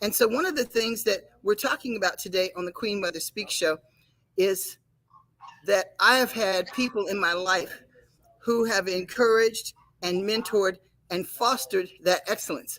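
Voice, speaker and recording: A woman with an American accent, a plain, everyday voice, medium pitch and a moderate pace. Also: ordinary pitch variation. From United States. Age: 60s. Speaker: show anchor and karate master. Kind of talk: casual talk show chat.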